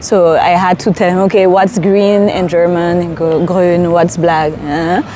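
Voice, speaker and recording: A woman's fairly low-pitched voice at a fairly slow pace, with very even loudness and noticeable background noise. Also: fairly even intonation. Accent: Saint Martin. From Saint Martin. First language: French. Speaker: storyteller. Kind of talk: interview. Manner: hesitant with fillers.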